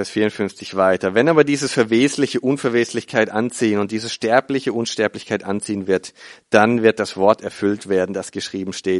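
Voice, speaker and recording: The man's pitch is fairly low, with ordinary variation, and he talks at a moderate pace. The sound is dry and close with no echo, against a quiet background. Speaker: preacher. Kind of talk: sermon. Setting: church with congregation. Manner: earnest, teaching tone, explaining scripture step by step; warm, conversational storytelling with hesitations and repeats.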